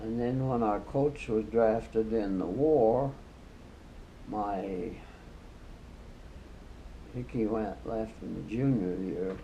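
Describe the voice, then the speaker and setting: Very slow speech with long, frequent pauses and ordinary pitch variation. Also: man, medium pitch for a man. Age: 80s+. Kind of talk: interview answer. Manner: casual, reminiscing.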